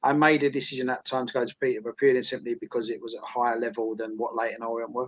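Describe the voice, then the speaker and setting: A man's medium-pitched voice in an Essex accent, very fast with hardly any pauses and fairly even intonation. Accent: Essex twang. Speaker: former footballer and academy coach. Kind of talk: interview.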